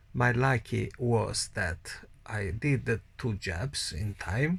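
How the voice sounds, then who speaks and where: Recorded very cleanly against a silent background, a man speaks with an Italian accent. His pitch varies ordinarily, and vocal fry comes through. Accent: Italian accent, non-native English. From Italy. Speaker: COVID-19 survivor vlogger. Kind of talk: personal testimony. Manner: halting.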